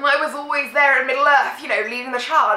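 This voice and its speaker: Noticeable background noise accompanies a woman speaking with a British accent. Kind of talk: casual talk to camera.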